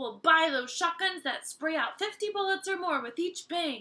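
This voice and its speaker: A woman puts on a character voice at an extremely high pitch, with lively intonation. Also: moderate pace. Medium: read story.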